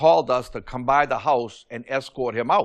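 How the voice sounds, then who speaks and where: This very clean recording has a silent background. The man's pitch is medium. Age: 60s. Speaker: landlord, defendant in a small-claims TV court case. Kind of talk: courtroom testimony. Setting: TV courtroom. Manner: halting, with many fillers and repetitions.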